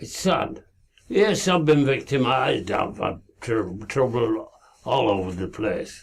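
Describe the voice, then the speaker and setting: Somewhat breathy and very slow, this man's medium-pitched voice swings very widely in pitch. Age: 80s+. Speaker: amateur investigator. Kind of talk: monologue to camera. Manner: halting.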